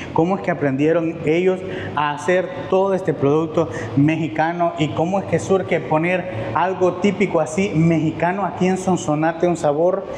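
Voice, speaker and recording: In a room with audible echo and light background noise, a man with a high pitch talks at a moderate pace with very even loudness. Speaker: food vlogger host. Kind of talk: casual vlog chat. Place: cafe. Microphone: lapel.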